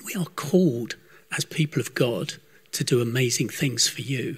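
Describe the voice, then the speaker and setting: A man with an ordinary speaking voice, fairly high in pitch, at a fairly slow pace with ordinary pitch variation. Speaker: church member leading prayer. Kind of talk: spoken prayer. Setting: church service.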